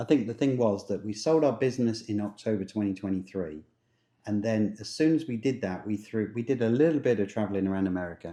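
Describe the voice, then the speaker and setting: Speaking at a very fast pace, a man with an English accent uses a fairly low pitch and ordinary pitch variation. There is a quiet background. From England. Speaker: travel vlogger. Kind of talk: casual chat.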